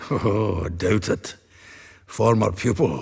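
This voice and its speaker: A man's raspy, put-on character voice, fairly low in pitch, with ordinary pitch variation at a fairly slow pace. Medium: video game. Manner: chuckling, folksy.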